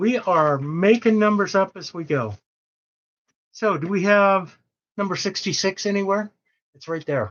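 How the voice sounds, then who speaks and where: The speaker goes at a fairly slow pace, leaving long, frequent pauses. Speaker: live sale host for quilting fabric. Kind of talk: casual live-stream sales talk. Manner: mumbling; casual, joking.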